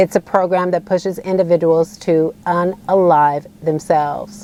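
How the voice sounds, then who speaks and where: With an American accent, a woman speaks in an unremarkable speaking voice at medium pitch, fairly slow and with fairly even intonation. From United States. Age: 40s. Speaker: asylum seeker and activist. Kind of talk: personal testimony to camera.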